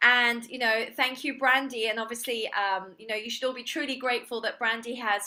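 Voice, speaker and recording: With an English accent, a woman speaks at a moderate pace in a high pitch, her tone bright and sharp. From England. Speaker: real estate agent and trainer. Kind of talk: online seminar presentation.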